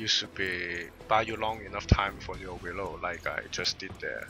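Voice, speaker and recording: Moderate pace and a non-native accent, with noticeable background noise. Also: man. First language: not English. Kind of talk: gameplay commentary guide. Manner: unscripted, hesitant.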